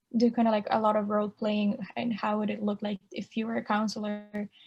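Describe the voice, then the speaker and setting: A woman speaks at a moderate pace in a somewhat breathy voice. Her tone is dark and mellow, her pitch fairly high. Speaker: college student. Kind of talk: casual chat.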